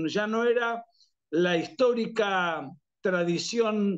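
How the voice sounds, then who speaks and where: A man's high voice sounds over a quiet background. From Argentina. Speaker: political writer and analyst. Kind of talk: interview. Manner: frequent fillers and restarts.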